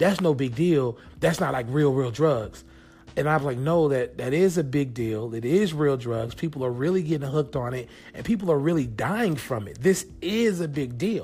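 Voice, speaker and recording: This man's voice is fairly high in pitch yet dark and mellow in tone, somewhat breathy. He moves at a moderate pace with lively intonation. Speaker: podcast host. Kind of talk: casual solo podcast monologue. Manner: casual, conversational, filler-heavy.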